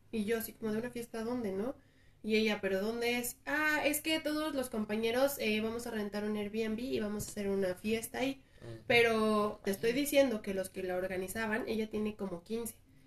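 Fairly high-pitched woman at a moderate pace, ordinary pitch variation, noticeable background noise. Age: 30s. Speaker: tattoo artist. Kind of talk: casual chat.

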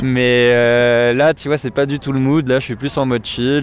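The speaker's intonation stays fairly even against noticeable background noise. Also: man. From Paris, France. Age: 20s. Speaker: gamer, music fan. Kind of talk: casual chat. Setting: outdoors, in a park.

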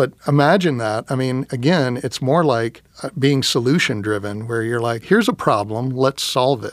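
Speaking in an American accent with an unremarkable speaking voice, a man with a medium pitch and ordinary pitch variation moves at a moderate pace with hardly any pauses. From Texas (Round Rock, near Austin). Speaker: audio industry business development executive. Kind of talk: casual interview chat.

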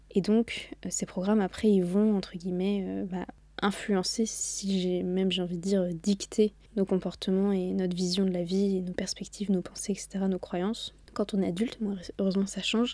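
Her medium-pitched voice has a dark, mellow tone, and the woman speaks at a moderate pace in a monotone, flat intonation. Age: 20s. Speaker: podcast host. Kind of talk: solo motivational monologue. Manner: casual, chatty.

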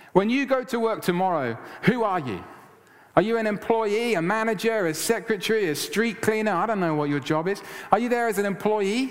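Loud and animated, a man talks at a fairly quick pace and a high pitch with ordinary pitch variation. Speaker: pastor. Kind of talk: sermon. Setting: church.

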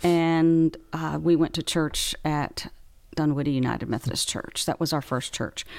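On a very clean recording with a silent background, a woman with an American accent speaks in a very deep, low pitch at a moderate pace with fairly even intonation. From Far West Texas, Big Spring. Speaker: bishop. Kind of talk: casual chat.

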